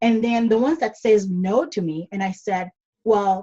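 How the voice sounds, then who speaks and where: Somewhat breathy and dark, mellow in tone, a woman speaks at a moderate pace with fairly high pitch and ordinary pitch variation, the sound dry and close with no echo. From Caribbean, Dominica. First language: not English (English is fifth language). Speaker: online business coach. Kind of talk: podcast interview.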